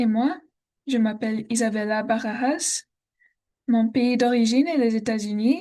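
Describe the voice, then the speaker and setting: Pausing long and often, a woman with an American accent talks at a fairly slow pace with very even loudness. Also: fairly high pitch for a woman, ordinary pitch variation. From Texas, Austin. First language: English (speaking French). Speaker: language student. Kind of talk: class presentation. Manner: halting, many hesitations.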